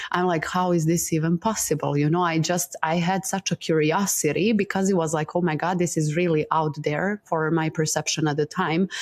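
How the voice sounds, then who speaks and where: A woman with a Montenegrin accent speaks at a fairly quick pace, with hardly any pauses and very even loudness. Her fairly low pitch stays monotone and flat, over noticeable background noise. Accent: Balkan (Montenegrin) accent in English. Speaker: breathwork teacher. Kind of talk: interview, personal story.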